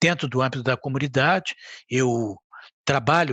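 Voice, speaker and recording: With a São Paulo accent, a man speaks with ordinary pitch variation. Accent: Brazilian Portuguese, São Paulo (paulistano). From Brazil, São Paulo. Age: 60s. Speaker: community leader and ophthalmologist. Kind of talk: podcast interview.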